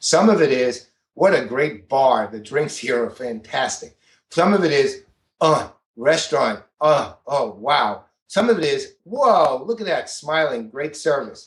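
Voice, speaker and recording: Lively and animated, a man speaks at a fairly slow pace. His fairly high voice comes out somewhat breathy. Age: 60s. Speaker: business author and CRM expert. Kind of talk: podcast interview.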